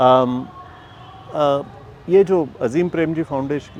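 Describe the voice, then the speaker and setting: There is noticeable background noise. Through it, a man talks with ordinary pitch variation. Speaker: foundation communications head. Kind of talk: interview. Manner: halting, many fillers; mixes English into Hindi.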